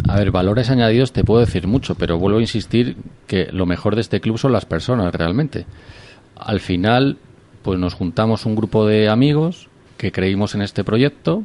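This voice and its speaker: A man speaks at a moderate pace in a plain, everyday voice. His pitch is fairly low. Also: ordinary pitch variation. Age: 30s. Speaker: business club member. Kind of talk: radio interview.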